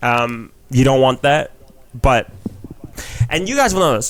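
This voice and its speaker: Amid noticeable background noise, a man speaks in an animated tone at a fairly slow pace and medium pitch, with ordinary pitch variation and long, frequent pauses. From New Zealand, Filipino heritage. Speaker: comedian. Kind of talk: casual chat.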